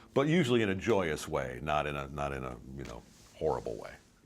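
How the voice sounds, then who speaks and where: With vocal fry, a man speaks at a fairly quick pace in a very deep, low voice. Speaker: actor. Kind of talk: interview.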